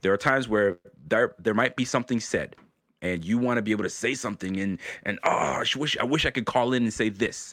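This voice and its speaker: An ordinary speaking voice, a man talks at a fairly quick pace with medium pitch and ordinary pitch variation on a very clean recording with a silent background. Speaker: YouTube show host, Bills fan. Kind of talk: casual chat.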